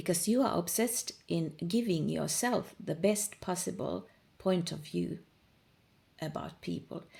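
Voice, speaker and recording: A woman with a fairly low pitch and a dark, mellow tone speaks at a fairly slow pace. Her voice shows vocal fry and ordinary pitch variation. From Finland. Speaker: manifestation coach. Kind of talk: informal monologue, coaching talk. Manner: casual, with fillers and repetitions.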